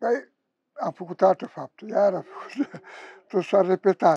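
Speaking at a fairly slow pace, a man uses a high pitch with ordinary variation. The sound is dry with no echo. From Romania. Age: 70s. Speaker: homeless man, former prisoner. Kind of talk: interview answer. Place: street. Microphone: lapel.

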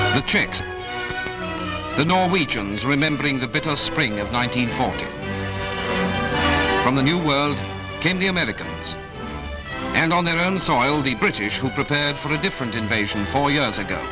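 Clear music is in the background. The speech moves at a moderate pace. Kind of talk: newsreel narration. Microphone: old recording.

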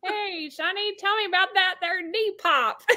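The speaker uses a put-on character voice at a moderate pace. Its pitch sits extremely high. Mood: playful, joking.

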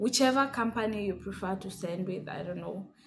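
A woman speaks in a somewhat breathy voice with ordinary pitch variation. Light background noise sits behind her. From Kenya. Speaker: vlogger. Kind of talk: casual tutorial vlog. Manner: hesitant, many fillers. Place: home room. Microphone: phone near.

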